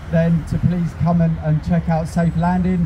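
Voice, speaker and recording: Against light background noise, a man with a high pitch speaks at a moderate pace in a monotone, flat delivery. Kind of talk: protest speech. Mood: earnest, personal. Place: street. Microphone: handheld.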